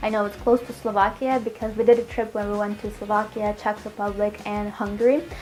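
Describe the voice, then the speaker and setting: A fairly high-pitched woman's voice, flat and monotone, at a fairly quick pace with hardly any pauses, over noticeable background noise. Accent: Russian. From Russia, Moscow. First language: Russian. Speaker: healthy cooking vlogger. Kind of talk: casual Q&A chat to viewers.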